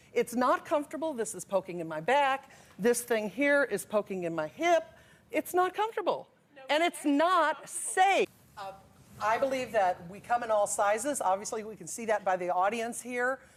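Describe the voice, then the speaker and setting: A woman speaks in a high voice with very wide pitch swings and big swings in loudness. Noticeable background noise is audible. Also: moderate pace. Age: 60s. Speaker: talk show guest, fat acceptance advocate. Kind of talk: TV talk show debate. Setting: TV studio with audience.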